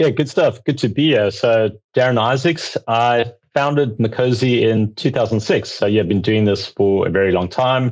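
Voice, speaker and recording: A man with a South African accent speaks at very even loudness. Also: medium pitch for a man, ordinary pitch variation, moderate pace. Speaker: accounting outsourcing firm founder. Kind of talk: podcast interview.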